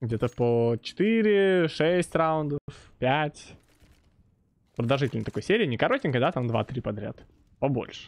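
A man speaks very slowly, with long and frequent pauses. His fairly high voice swings very widely in pitch. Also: quiet background. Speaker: esports caster. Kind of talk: live sports commentary.

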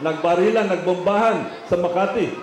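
A man with a Filipino accent, high-pitched and animated, with audible room echo and light background noise. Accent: Filipino English and Tagalog. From Philippines. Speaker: politician. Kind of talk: rally speech. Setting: outdoor rally with audience and slides. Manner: proud, boastful, animated; campaign-style slideshow narration, direct to crowd. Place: stage. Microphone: pa.

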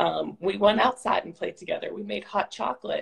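The speaker is a woman with an American accent. Her background is quiet. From Pittsburgh, Pennsylvania. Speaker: national park service director; interview guest. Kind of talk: casual interview chat. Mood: reflective, warm. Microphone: phone near.

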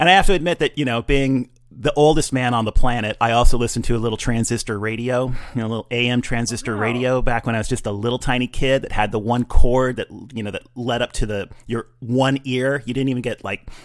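A man rattles along at a very fast clip, his intonation fairly even, with little noise behind him. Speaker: podcast host. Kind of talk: casual podcast chat. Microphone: studio mic.

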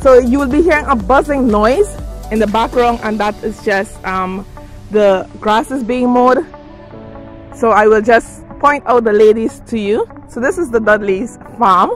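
Ordinary pitch variation from a woman at a fairly slow pace, with music in the background and a dry sound with no echo. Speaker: farm helper vlogger. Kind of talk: casual vlog chat. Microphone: phone near.

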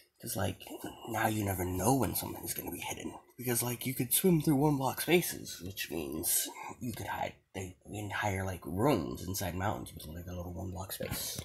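A man with an unremarkable speaking voice and a fairly low pitch talks at a moderate pace. His intonation is lively and his loudness swings widely. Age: 20s. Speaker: gaming YouTuber. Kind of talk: gameplay commentary. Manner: casual with many fillers.

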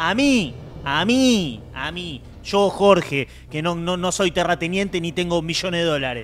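Light background noise runs under a man speaking at a fairly slow pace. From Argentina. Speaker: panelist. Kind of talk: casual chat. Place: studio. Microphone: studio mic.

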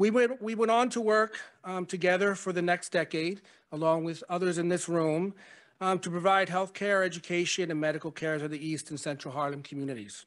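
Over a quiet background, a man with a high pitch speaks at a fairly quick pace with ordinary pitch variation. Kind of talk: memorial speech. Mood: warm, reflective. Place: hall. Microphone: podium.

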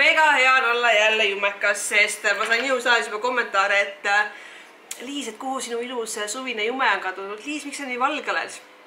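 A woman's animated, fairly high voice with ordinary pitch variation, over light background noise. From Estonia, Viljandi; Estonia. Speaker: fitness vlogger. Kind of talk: vlog. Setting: outdoors. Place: home room. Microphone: phone near.

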